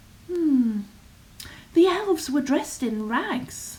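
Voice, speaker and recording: A woman puts on a character voice with a high pitch and lively intonation. She delivers it at a fairly slow pace. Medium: read story.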